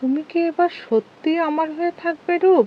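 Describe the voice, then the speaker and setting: In a squeaky, put-on character voice, the woman goes at a moderate pace while hitting an extremely high pitch. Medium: read story.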